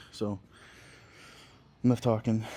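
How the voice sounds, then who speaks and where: This man has an American accent and a dark, mellow tone at a fairly low pitch. He keeps a moderate pace and fairly even intonation. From Scranton, Pennsylvania, US. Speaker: bodybuilder vlogger. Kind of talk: gym vlog talking to camera. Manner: casual, swearing, loose.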